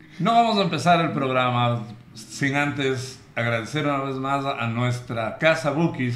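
A man's medium-pitched voice, fairly slow, with ordinary pitch variation and audible room echo. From Quito, Ecuador. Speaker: podcast host. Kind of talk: casual chat. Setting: bookstore studio.

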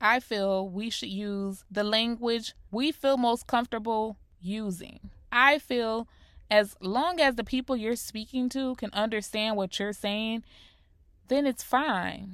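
In a very clean recording with a silent background, a woman with an American accent speaks very slowly at a fairly high pitch, with ordinary pitch variation. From US Northeast (Rochester, New York), later South Florida. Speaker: podcast host. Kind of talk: solo podcast monologue. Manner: clear.

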